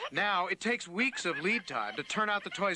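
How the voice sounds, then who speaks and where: A raised, projected voice at a fairly quick pace over noticeable background noise. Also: man. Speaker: TV news correspondent. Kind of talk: broadcast TV news report voiceover.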